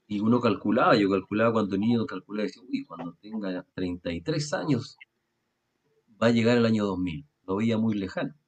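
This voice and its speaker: A man speaks at a moderate pace in a normal speaking voice. His pitch sits fairly low and varies in an ordinary way. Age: 40s. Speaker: radio program host. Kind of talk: religious discussion. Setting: recorded video and radio program.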